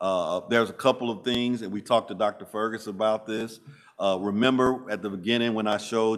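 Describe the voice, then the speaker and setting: Monotone, flat intonation in a Southern US accent. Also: man. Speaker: school district administrator. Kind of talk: committee meeting presentation. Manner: halting.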